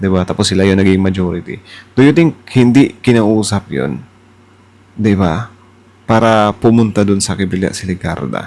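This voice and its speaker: At a moderate pace, a man with a fairly low pitch and lively intonation speaks in an ordinary speaking voice. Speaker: political reaction YouTuber. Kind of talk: casual reaction commentary.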